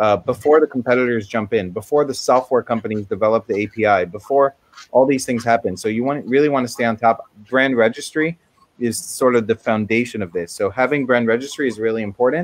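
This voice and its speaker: Speaking at a very fast pace, a man with a medium pitch and ordinary pitch variation comes across in a dry, close sound with no echo. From USA, moved from Israel at six. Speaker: Amazon marketing expert. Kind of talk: webinar presentation. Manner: many fillers (um, uh).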